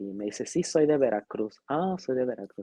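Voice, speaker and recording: Man with a dark, mellow tone at medium pitch and moderate pace, in a dry, close sound with no echo. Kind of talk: interview.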